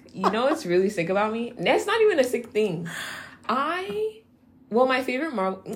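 In a Californian accent, a woman talks with an animated tone, lively intonation and fairly high pitch over noticeable background noise. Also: moderate pace. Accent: Californian American English. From Nigeria, raised in San Francisco Bay Area. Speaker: podcast co-host. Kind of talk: casual chat. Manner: animated, laughing often.

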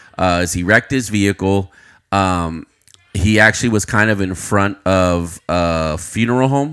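Talking at a moderate pace in an American accent, a man has an ordinary speaking voice, fairly low in pitch with ordinary pitch variation. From Uvalde, Texas. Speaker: podcast co-host. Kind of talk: casual chat.

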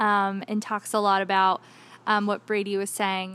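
A woman talks at a moderate pace. Hers is an unremarkable speaking voice. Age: 20s. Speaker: church youth director. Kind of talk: interview.

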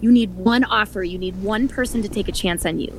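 A woman with an Upper Midwest accent speaks at a fairly quick pace and medium pitch, with ordinary pitch variation. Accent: Upper Midwest American. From Wisconsin, Milwaukee. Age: 40s. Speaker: author. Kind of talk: interview.

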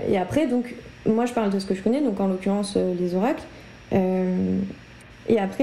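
Audible echo from the room hangs around a woman as she talks. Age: 20s. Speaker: medium and spiritual guide, entrepreneur. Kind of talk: casual interview.

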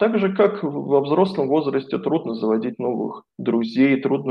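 A man with a plain, everyday voice, medium pitch, lively intonation and a fairly slow pace. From Moscow, Russia. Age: 40s. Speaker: coach and philologist, former priest. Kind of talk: interview.

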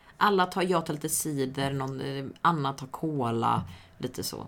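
A woman speaking at a fairly slow pace. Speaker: podcast co-host. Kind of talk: casual chat.

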